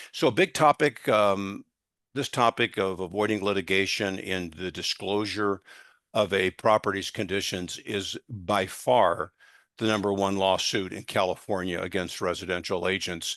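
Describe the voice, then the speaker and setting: A man speaks at a moderate pace and a fairly low pitch with fairly even intonation, a plain, everyday voice. The sound is dry and close with no echo, over a quiet background. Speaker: litigation consultant giving real estate training. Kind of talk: training seminar.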